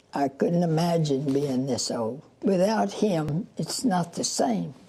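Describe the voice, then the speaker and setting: Over noticeable background noise, a woman with a fairly low pitch talks at a fairly slow pace, her voice making very wide pitch swings. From Louisiana. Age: 80s+. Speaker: centenarian runner. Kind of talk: casual interview.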